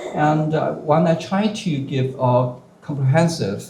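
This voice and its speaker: Amid noticeable background noise and audible room echo, a man with a Chinese accent speaks very slowly in a fairly high voice. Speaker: professor. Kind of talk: panel response. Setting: bookstore lecture with audience. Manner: halting, many fillers.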